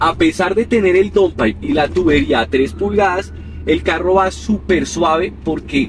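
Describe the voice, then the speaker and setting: Delivering his words at a fairly slow pace, a man can be heard against noticeable background noise. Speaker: car owner reviewer. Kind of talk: casual car review commentary. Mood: relaxed, pleased. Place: car. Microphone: camera far.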